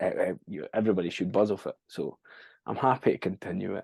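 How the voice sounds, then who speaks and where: Captured in a dry, close sound with no echo, a man speaks with a Scottish accent. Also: quiet background. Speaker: rock band frontman and singer. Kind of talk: casual chat. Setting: podcast interview.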